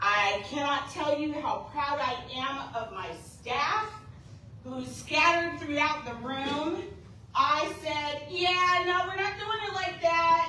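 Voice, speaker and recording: A woman in a raised, projected voice at a high pitch speaks at a very slow pace with lively intonation, amid noticeable background noise and audible room echo. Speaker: state agency director. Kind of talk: keynote speech. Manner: animated.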